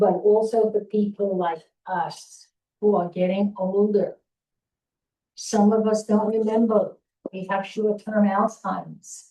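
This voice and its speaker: Speaking very slowly with long, frequent pauses, a woman with a New York accent uses a medium pitch, a dark, mellow tone and monotone, flat intonation. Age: 80s+. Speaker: town hall attendee, volunteer. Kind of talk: public comment at town hall. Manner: halting, repetitive.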